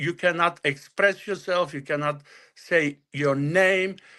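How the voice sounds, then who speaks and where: A man with a Bulgarian accent talks at a fairly slow pace in a high pitch, with a bright, sharp tone. His pitch varies in an ordinary way over a quiet background. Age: 60s. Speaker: author. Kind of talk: interview. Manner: halting.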